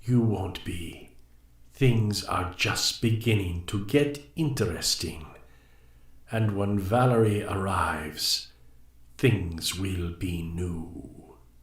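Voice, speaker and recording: A man puts on a character voice, pitched fairly low and delivered at a very slow pace. There is a slight echo. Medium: read story. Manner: cryptic, measured.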